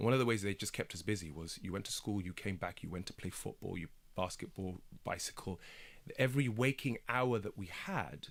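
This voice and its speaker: A man's fairly low voice with a British accent. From Kenya and England. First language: Swahili. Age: 30s. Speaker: broadcaster and documentary maker. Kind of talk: radio interview.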